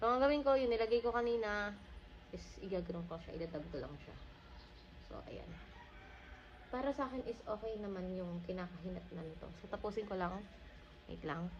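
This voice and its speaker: Woman at medium pitch, fairly quick and lively in intonation, with big swings in loudness, long and frequent pauses, audible room echo and noticeable background noise. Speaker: beauty vlogger. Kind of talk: makeup tutorial vlog. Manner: casual, halting.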